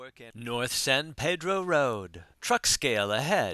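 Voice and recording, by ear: A man's put-on character voice, medium in pitch, bright and sharp in tone, with big pitch swings at a slow pace.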